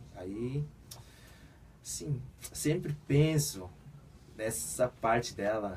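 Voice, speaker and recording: A man's medium-pitched, somewhat breathy voice with a Korean accent, a very slow pace, very wide pitch swings, and long, frequent pauses. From South Korea, raised in Brazil from age seven. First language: Korean (speaking Portuguese). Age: 20s. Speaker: football player. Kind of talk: radio interview. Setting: radio studio.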